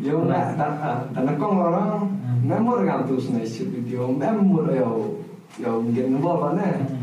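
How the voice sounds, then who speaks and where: Man at a very slow pace and fairly high pitch, with very wide pitch swings, audible room echo and noticeable background noise. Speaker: podcast co-host. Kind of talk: casual chat. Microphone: camera audio, poor sound quality.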